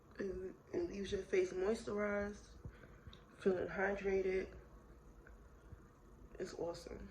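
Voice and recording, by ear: Slow delivery, little pitch movement and a slightly mellow tone, with audible room echo. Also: woman, medium pitch for a woman.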